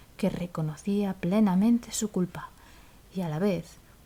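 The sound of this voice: The speaker has an unforced reading voice, and the pitch shows ordinary variation.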